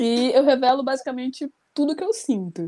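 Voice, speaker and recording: A woman with a high pitch and a dark, mellow tone speaks at a moderate pace. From Rio de Janeiro, Brazil. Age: 20s. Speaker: poet. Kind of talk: panel discussion.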